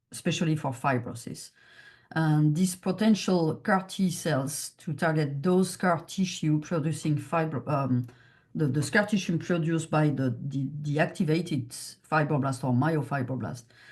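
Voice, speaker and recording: A woman with a French accent speaks in a very deep, low, somewhat breathy voice. She keeps a moderate pace with ordinary pitch variation. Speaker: chief scientific officer of a patient foundation. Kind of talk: research presentation Q&A. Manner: halting, many fillers.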